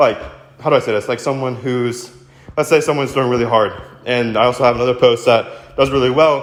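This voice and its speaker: The man's pitch lands in a medium range. He speaks at a very fast pace. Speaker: social media creator. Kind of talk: casual tutorial. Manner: casual, filler-heavy.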